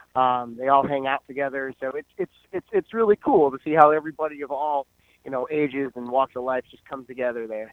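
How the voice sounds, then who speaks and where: This man has an ordinary speaking voice, fairly high in pitch with ordinary pitch variation, talking at a fairly quick pace with an American accent and big swings in loudness. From Central Virginia (Fredericksburg, Spotsylvania area). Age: 30s. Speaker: jiu-jitsu gym owner and instructor. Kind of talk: casual interview.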